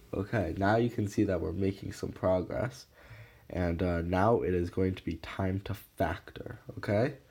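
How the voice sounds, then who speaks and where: A man with a very deep, low pitch and a dark, mellow tone speaks at a fairly slow pace. His voice is somewhat breathy, and his intonation stays fairly even. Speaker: math tutorial creator. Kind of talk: tutorial. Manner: hesitant, many fillers.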